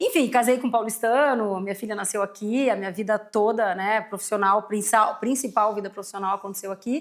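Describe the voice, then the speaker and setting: At a fairly quick pace and with fairly even intonation, the speaker has a normal speaking voice. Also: woman, fairly high pitch for a woman. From southern Brazil, Rio Grande do Sul (São Leopoldo, near Porto Alegre). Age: 40s. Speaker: company CEO, market research executive. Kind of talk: podcast interview. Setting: studio.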